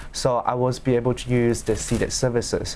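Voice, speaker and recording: A man speaks with a Chinese accent. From China. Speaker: law student. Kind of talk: panel discussion. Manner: halting.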